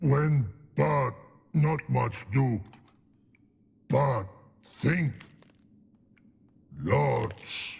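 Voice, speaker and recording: Putting on a character voice at medium pitch, a man speaks at a very slow pace with long, frequent pauses. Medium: video game. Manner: broken grammar, slow and simple.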